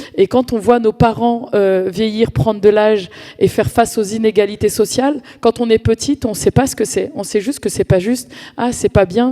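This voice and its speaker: A woman's fairly high voice, dark and mellow in tone, with ordinary pitch variation, a moderate pace and a dry, close sound with no echo. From France, Paris suburbs (Val-d'Oise, Cergy). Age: 40s. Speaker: community activist. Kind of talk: conference talk. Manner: hesitant, many fillers and repetitions.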